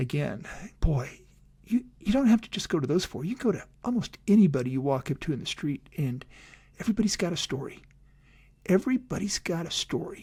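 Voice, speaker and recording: On a very clean recording with a silent background, a man with a high pitch and a dark, mellow tone speaks at a fairly quick pace with very wide pitch swings. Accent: American. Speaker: podcast host and coach. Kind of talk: casual podcast outro. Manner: fast.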